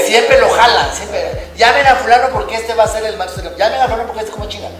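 A man at a very fast pace, with audible room echo and noticeable background noise. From Guatemala. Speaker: comedian. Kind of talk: interview answer. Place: studio. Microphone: camera far.

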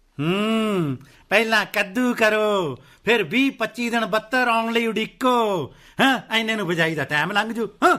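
A man puts on a character voice, high-pitched with a bright, sharp tone. His intonation is lively and his pace fairly slow. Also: few pauses.

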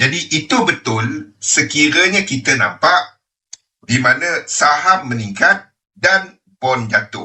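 Speaking very slowly, a man uses a fairly high pitch with very wide swings. His loudness stays very even. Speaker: trading educator. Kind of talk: webinar lecture.

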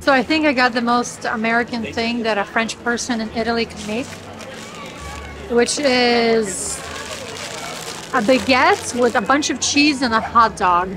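Against noticeable background noise, a woman speaks at a moderate pace in a high voice. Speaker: travel vlogger. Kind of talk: casual vlog chat. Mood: cheerful, curious. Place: market. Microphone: phone near.

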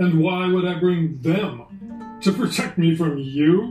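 A man does a put-on character voice at a high pitch and a fairly slow pace. Faint music sits in the background, with a slight echo. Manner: imperious, threatening.

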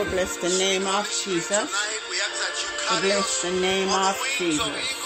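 A man speaks at a very slow pace. Music plays behind him. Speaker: preacher leading prayer. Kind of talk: sermon.

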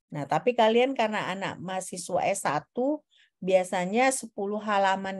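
Against a quiet background, a woman speaks at a moderate pace with a medium pitch and ordinary pitch variation. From Indonesia. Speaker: university lecturer. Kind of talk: lecture. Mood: relaxed, informal teaching tone. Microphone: video call.

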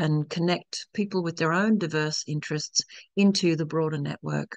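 A woman's very deep, low-pitched monotone at a moderate pace, dry with no echo over a quiet background. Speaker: event host for a network. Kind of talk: webinar presentation. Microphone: video call.

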